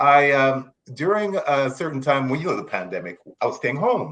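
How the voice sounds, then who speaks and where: This man's voice has vocal fry. His pitch swings very widely. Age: 60s. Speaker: children's book author. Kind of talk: interview. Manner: halting.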